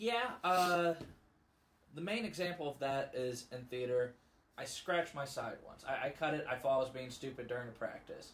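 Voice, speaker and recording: A man with an American accent and a normal speaking voice talks at a moderate pace, his fairly high pitch carried by lively intonation. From US Midwest, Missouri (Festus). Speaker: podcast co-host. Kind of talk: casual chat.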